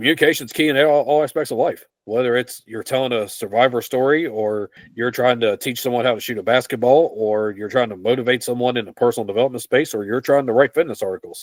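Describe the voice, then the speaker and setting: A man with an American accent, medium pitch, ordinary pitch variation, and a very fast pace. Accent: twang. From West Virginia, US. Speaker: fitness writer. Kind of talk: interview. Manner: plain, simple speech.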